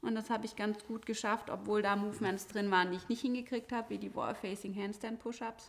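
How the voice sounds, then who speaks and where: A woman with a fairly high pitch speaks in a monotone, flat intonation. She keeps a fairly quick pace with hardly any pauses. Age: 40s. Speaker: CrossFit gym owner and coach. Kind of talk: casual interview chat.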